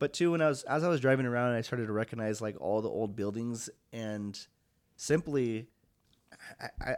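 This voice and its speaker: A man's normal speaking voice, medium in pitch, with an American accent and a fairly quick pace. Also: very clean recording, silent background. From US Pacific Northwest, Longview, Washington. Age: 20s. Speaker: studio owner and entrepreneur. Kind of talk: casual interview.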